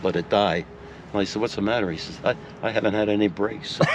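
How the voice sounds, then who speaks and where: Against noticeable background noise, a man with a fairly low voice speaks at a fairly quick pace. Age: 80s+. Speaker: retired racing car owner. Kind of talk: interview answer. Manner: storytelling, conversational.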